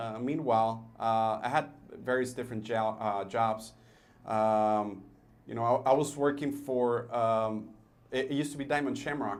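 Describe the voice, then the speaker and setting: A man talks at a medium pitch. Audible room echo is present. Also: fairly even intonation, moderate pace. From El Paso, Texas / Juárez border area. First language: Spanish. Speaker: business owner, entrepreneur. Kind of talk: radio interview. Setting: studio. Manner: hesitant, many fillers.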